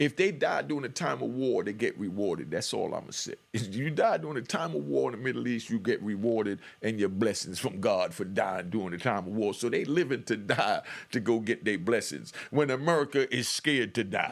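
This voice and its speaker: A man's medium-pitched voice with vocal fry, lively intonation and a fairly quick pace, hardly any pauses throughout. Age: 50s. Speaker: YouTube commentator, former street figure. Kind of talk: reaction commentary monologue. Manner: fast when excited; animated.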